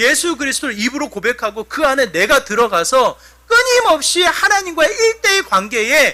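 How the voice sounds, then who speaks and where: A man's raised, projected voice at an extremely high pitch, with very wide pitch swings, over noticeable background noise. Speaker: pastor. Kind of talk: sermon. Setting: church.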